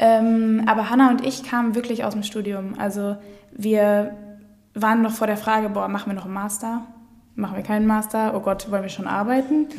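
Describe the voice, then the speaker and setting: Music plays in the background as a woman talks fairly quickly in a fairly high, flat monotone, with audible room echo. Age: 20s. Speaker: food startup co-founder. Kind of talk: casual interview. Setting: studio, in person.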